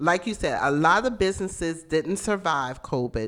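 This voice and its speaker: Lively intonation with an American accent. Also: woman. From South Carolina Lowcountry (Mount Pleasant). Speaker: caterer and bakery business owner. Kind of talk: casual interview. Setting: radio studio.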